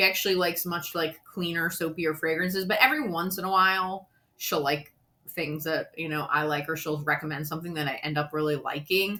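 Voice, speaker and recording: A woman's fairly low voice with an American accent, animated in tone, at a fairly quick pace. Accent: Philadelphia, tried to lose it. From US, Philadelphia area. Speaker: beauty YouTuber. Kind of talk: casual product review.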